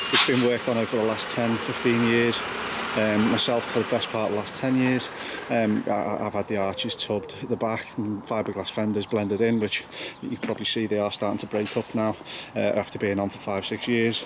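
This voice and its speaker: Speech comes at a fairly quick pace with monotone, flat intonation. Noticeable background noise runs underneath. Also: man, fairly low pitch for a man. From northwest England, Wirral, Merseyside. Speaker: car enthusiast vlogger. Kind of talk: casual vlog narration. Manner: casual, with fillers and hesitations.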